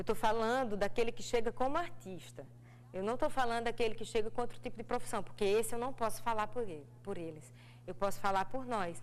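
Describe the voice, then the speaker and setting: The voice swings very widely in pitch, moves at a fairly quick pace and has vocal fry. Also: woman, medium pitch for a woman. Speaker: actress. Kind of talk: TV interview. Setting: TV studio.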